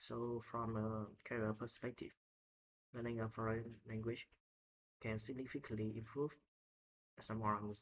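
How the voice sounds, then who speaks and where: In a Vietnamese accent, a man talks at a medium pitch and a fairly slow pace. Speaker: English learner. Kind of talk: speaking test practice. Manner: halting.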